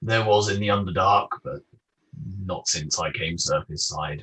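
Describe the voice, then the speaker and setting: A man speaks in a put-on character voice at a fairly low pitch. His pace is moderate. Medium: actual play.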